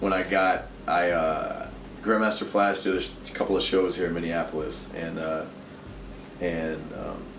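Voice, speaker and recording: A man talks at a very deep, low pitch and a moderate pace, with fairly even intonation. Noticeable background noise and audible room echo fill the recording. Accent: American. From US East Coast. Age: 30s. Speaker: tattoo artist and painter. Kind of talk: casual interview.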